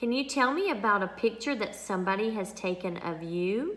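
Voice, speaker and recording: A woman with a Southern US accent at a fairly slow pace. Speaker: speech therapist. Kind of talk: tutorial; reading aloud. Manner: animated.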